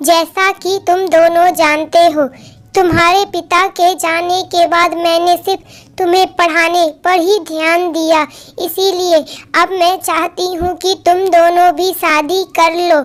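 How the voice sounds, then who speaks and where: Doing a cartoonish character voice, a woman talks at a fairly slow pace with an extremely high pitch and monotone, flat intonation. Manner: commanding.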